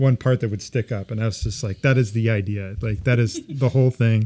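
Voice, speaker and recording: Recorded very cleanly with a silent background and a dry, close sound with no echo, a man speaks at a fairly quick pace in a medium pitch, his tone dark and mellow and his intonation fairly even. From Southern California (Ventura). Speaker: architectural designer. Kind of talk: casual chat.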